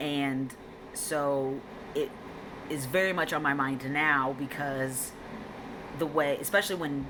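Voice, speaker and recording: A woman with a very deep, low voice speaks amid noticeable background noise and audible room echo. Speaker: vlogger. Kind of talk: personal vlog update. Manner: female-sounding inflection; hesitant, many ums.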